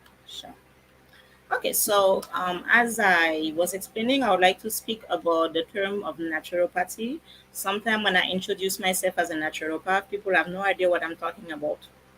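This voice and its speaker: In a French accent, a woman talks at a fairly quick pace and medium pitch. Her pitch varies in an ordinary way over noticeable background noise. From France. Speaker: naturopath. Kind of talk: educational talk. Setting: live stream.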